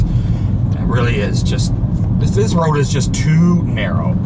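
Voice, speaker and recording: A man talks with an American accent and very wide pitch swings. Audible room echo and noticeable background noise surround him. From United States. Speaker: travel vlogger. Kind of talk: casual vlog monologue. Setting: in a car, driving. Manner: halting, many fillers.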